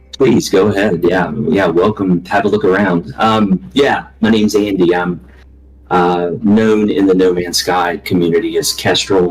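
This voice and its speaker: A very deep, low male voice in a strong Southern US accent, fairly slow, with very even loudness. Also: ordinary pitch variation. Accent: thick Southern US. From US South, Alabama. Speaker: video game community leader, anesthesia worker. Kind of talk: casual interview chat. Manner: halting, many fillers.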